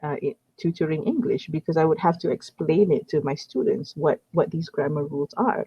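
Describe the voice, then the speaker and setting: Someone speaks with a Malaysian accent at a moderate pace. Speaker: online English tutor. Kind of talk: casual conversation lesson. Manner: hesitant, many fillers and repeats.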